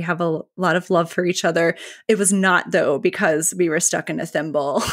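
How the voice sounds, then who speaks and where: A woman speaks with a medium pitch. Her pace is moderate. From US South, North Carolina. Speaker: marketing company co-founder. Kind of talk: podcast interview.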